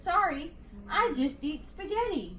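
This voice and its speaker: A woman uses a put-on character voice, high in pitch, with very wide pitch swings at a fairly slow pace. Clear background noise is present. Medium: read story.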